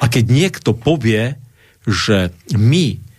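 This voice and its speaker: Lively intonation in a man's somewhat breathy delivery. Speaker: Lutheran pastor. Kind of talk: radio talk show interview. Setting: radio studio.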